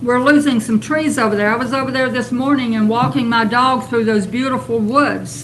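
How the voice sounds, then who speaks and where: A woman's high voice, with ordinary pitch variation, comes through audible room echo and noticeable background noise. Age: 70s. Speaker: public commenter at city council. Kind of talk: public comment at council meeting.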